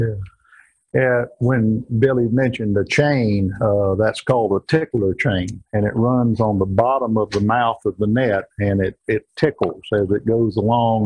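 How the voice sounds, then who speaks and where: Speaking at a moderate pace in a Southern US accent, a man sounds somewhat breathy, with fairly even intonation. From Amelia Island, Florida. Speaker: host, retired firefighter. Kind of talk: casual interview talk. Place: workshop. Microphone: lapel.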